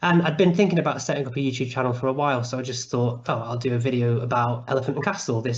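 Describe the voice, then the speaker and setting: A man in a Mancunian accent at a very fast pace, with audible room echo and noticeable background noise. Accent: soft Mancunian. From Manchester, northern England. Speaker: YouTuber on urban planning. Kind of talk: online talk. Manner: animated.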